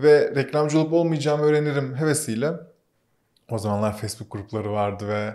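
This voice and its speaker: A man with a dark, mellow tone and fairly high pitch speaks at a fairly quick pace with ordinary pitch variation. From Turkey, Muğla (born Ankara). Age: 30s. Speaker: media startup co-founder. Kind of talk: casual interview. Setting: studio.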